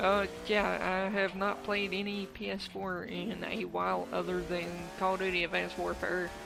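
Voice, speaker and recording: Music plays in the background as a woman speaks. She takes hardly any pauses. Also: moderate pace. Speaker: gamer / YouTuber. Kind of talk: gaming voice-over commentary. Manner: slight stutter, hesitant.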